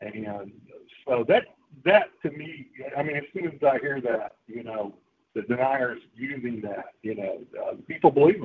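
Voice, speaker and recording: A man with an unremarkable speaking voice, fairly high in pitch, with lively intonation, big swings in loudness and a fairly slow pace. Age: 60s. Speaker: regular participant. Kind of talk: casual chat.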